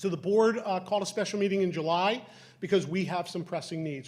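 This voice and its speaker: This man's voice sits high in pitch, with ordinary pitch variation. He talks at a fairly quick pace. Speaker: school district official presenting to council. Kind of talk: public meeting presentation. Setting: municipal council meeting hall. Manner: fast.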